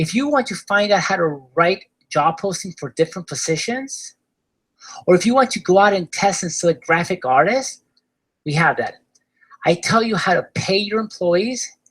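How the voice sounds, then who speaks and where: Moderate pace with an Argentine accent. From Argentina. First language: Spanish. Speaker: online business course seller. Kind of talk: sales pitch webinar.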